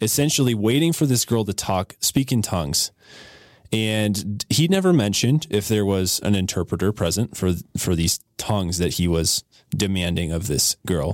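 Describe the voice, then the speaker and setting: Recorded dry and close with no echo in a very clean recording with a silent background, a man with a fairly low pitch and lively intonation speaks at a moderate pace with very even loudness in an unremarkable speaking voice. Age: 20s. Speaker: church youth director. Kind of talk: casual chat. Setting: studio.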